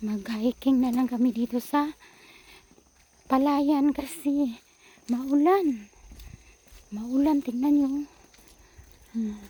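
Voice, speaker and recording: A woman's whisper at a very slow pace, broken by long, frequent pauses. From Philippines. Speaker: vlogger. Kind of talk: casual vlog narration. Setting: outdoors walking in rice fields. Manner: almost whispering.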